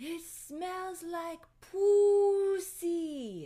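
A female-sounding put-on character voice shouts at an extremely high pitch. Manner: screaming.

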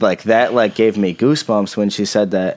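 A man with a plain, everyday voice talks at a moderate pace and fairly low pitch on a very clean recording with a silent background. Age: 20s. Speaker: podcast co-host and aspiring rapper, factory worker. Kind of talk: casual chat.

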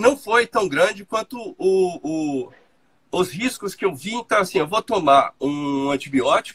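This man's high pitch moves in very wide swings at a fairly slow pace, recorded with a dry, close sound and no echo. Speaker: doctor. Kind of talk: casual chat.

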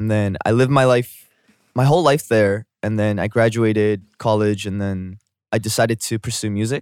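A man with a Canadian accent and a fairly low pitch speaks at a moderate pace with fairly even intonation, the sound dry and close with no echo. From Canada. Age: 20s. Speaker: singer-songwriter. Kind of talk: casual interview. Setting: video call.

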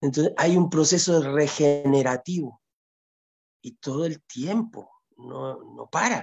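Speech delivered at a very slow pace with fairly even intonation. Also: man. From Chile, long years in Ecuador. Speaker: healer and shamanic music maker. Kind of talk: casual interview. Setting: video call. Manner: halting, with many repeated words.

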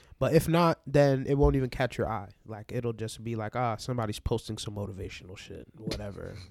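In a normal speaking voice, a man with an American accent talks at medium pitch and a fairly quick pace, with hardly any pauses. His pitch variation is ordinary, while his loudness swings widely. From New York, Barbadian family. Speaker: DJ. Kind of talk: casual chat.

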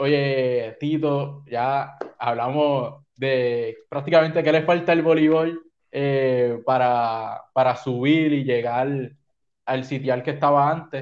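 Very slowly, a man talks in a fairly high voice with fairly even intonation. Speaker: podcast host and sports broadcaster. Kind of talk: casual interview chat.

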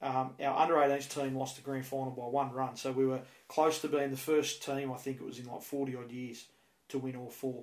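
A man speaks in an Australian accent with a flat, monotone delivery. His loudness swings widely, and the room echo is audible. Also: medium pitch for a man, moderate pace. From Australia, Penrith (western Sydney). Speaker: baseball coach. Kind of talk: interview. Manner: halting, repeats words.

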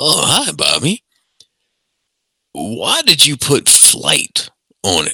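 A man does a gruff, put-on character voice. He talks at a very slow pace with long, frequent pauses.

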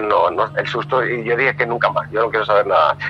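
A man is speaking. Music plays in the background. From Venezuela. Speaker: explorer. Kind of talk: storytelling interview.

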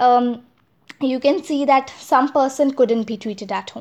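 A woman speaks in a high voice with an Indian accent. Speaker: podcast host. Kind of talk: solo podcast monologue. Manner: halting.

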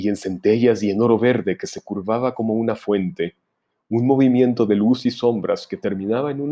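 This is plain reading aloud with ordinary pitch variation and a quiet background.

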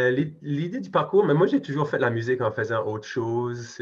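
A man speaks at a moderate pace with a somewhat breathy voice and ordinary pitch variation against a quiet background. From New Brunswick, Acadia. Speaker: singer-songwriter and park director. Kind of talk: casual interview.

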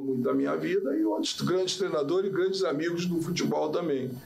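A man speaks at a fairly quick pace with a Rio de Janeiro accent, his pitch fairly high. The room echo is audible and there is noticeable background noise. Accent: Carioca Brazilian Portuguese. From Rio de Janeiro, Brazil. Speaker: football players' agent. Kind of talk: casual interview. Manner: forceful, sounds like arguing.

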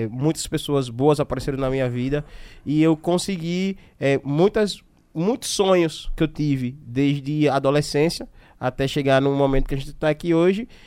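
The recording is very clean with a silent background. A man talks at a moderate pace. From Aracaju, Sergipe, Brazil. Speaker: podcast host. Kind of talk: casual chat.

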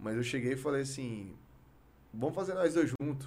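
Here a man is talking. His pitch is medium. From Brazil, Goiás (Goiânia and Palmeiras de Goiás). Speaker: rapper. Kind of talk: casual interview chat. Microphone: too far from the mic at times.

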